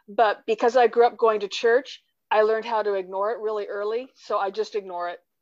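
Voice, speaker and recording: A woman talks at a fairly quick pace with fairly high pitch. Her intonation is monotone and flat. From California. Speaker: fan at a conference. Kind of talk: casual chat.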